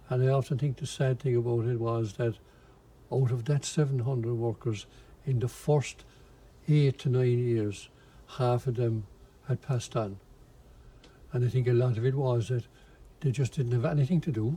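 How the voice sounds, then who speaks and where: In a Cork accent, a man with a medium pitch and a dark, mellow, somewhat breathy tone speaks at a moderate pace with fairly even intonation, very even loudness, and long, frequent pauses. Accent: Irish, Cork. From Ireland, Limerick then Cork. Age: 80s+. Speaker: retired factory supervisor and amateur painter. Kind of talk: interview testimony. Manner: halting, many fillers.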